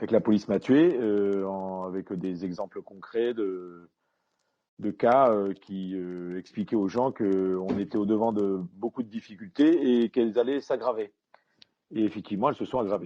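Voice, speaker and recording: This man has a fairly low pitch and ordinary pitch variation. He talks at a fairly slow pace. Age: 60s. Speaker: retired police commander and author. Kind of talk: interview. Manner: halting, many hesitations.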